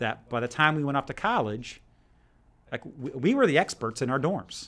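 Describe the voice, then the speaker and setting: A man with an American accent talks at a moderate pace. The recording is very clean, with a silent background. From New Jersey. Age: 40s. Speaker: school principal. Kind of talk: interview. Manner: hesitant, many fillers.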